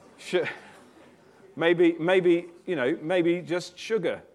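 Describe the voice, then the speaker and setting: With a British accent, a man speaks in a fairly high pitch. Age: 40s. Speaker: preacher. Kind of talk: sermon.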